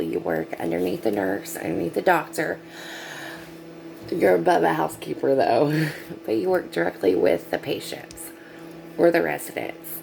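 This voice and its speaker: A woman speaks quietly at a moderate pace, with noticeable background noise. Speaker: nurse's aide. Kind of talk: casual vlog. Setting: at work, night shift.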